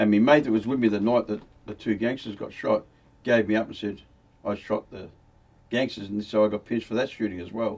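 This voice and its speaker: Over noticeable background noise, the words rush out at a very fast pace, the intonation staying fairly even. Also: man. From Australia, Victoria (Melbourne area). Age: 70s. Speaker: former criminal telling his life story. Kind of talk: casual interview storytelling.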